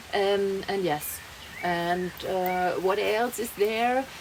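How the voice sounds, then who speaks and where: With noticeable background noise behind her, a woman in a German accent talks very slowly with fairly even intonation. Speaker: vlogger. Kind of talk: personal vlog monologue. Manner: halting, many fillers and restarts.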